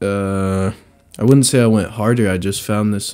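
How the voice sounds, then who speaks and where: A man speaks in a fairly low pitch with a dark, mellow tone and monotone, flat intonation, at a moderate pace. The recording is very clean, with a silent background. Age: 20s. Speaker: rapper. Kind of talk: casual chat. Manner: casual slang-heavy.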